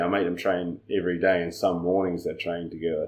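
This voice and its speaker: Talking at a fairly quick clip, a man speaks in a New Zealand accent. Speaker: judo coach. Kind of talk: casual chat.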